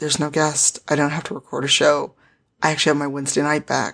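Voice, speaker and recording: A woman speaks with a very deep, low pitch and noticeable vocal fry. The background is quiet. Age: 40s. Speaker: nonprofit founder and diversity advocate. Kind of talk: casual interview.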